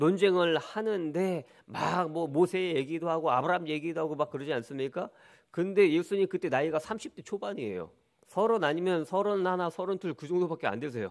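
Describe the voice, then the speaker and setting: On a very clean recording with a silent background, a man with a high voice talks at a fairly quick pace with ordinary pitch variation. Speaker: pastor. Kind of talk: sermon. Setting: church. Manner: animated, preaching style with rhetorical questions.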